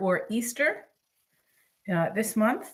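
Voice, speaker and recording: A woman speaks with a somewhat breathy voice. Her pace is fairly slow. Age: 70s. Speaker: cooking channel host. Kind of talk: live-stream cooking tutorial. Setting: home kitchen, live stream. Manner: casual, chatty with frequent fillers.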